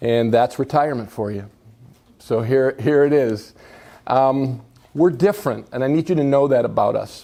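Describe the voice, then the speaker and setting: A man with an American accent and a dark, mellow tone talks at a moderate pace in a medium pitch with ordinary pitch variation, on a very clean recording with a silent background. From Buffalo, New York. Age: 60s. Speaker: senior care company executive. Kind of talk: public talk.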